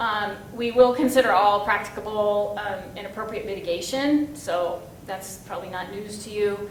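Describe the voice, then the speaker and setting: Through noticeable background noise and audible room echo comes a woman's voice at a medium pitch with ordinary pitch variation. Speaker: federal regulatory project manager. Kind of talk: conference presentation. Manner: fast.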